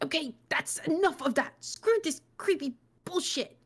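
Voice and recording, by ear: Growling through a put-on character voice, the speaker uses lively intonation at a moderate pace. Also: woman, extremely high pitch for a woman.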